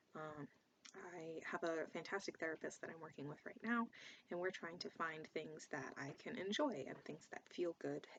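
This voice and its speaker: A woman at a fairly low pitch and a moderate pace. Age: 20s. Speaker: gaming vlogger. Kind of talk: casual vlog monologue. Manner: hesitant, many filler words.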